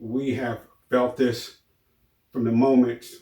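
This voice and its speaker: A man speaks at a medium pitch with a dark, mellow tone. His voice is somewhat breathy and his pace fairly slow. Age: 60s. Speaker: YouTuber sharing personal stories. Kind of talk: personal testimony monologue.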